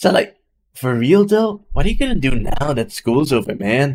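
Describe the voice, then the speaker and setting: A man's put-on character voice, drawling at a moderate pace with a fairly high pitch. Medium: game stream. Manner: drawling, relaxed, says dude and man.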